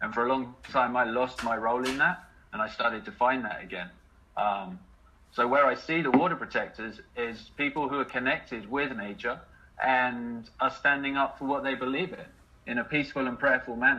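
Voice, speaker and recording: A man with a medium pitch speaks at a moderate pace, his pitch varying an ordinary amount. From England, Letchworth, Hertfordshire. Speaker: activist, water protector. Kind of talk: interview, personal story. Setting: live online video chat.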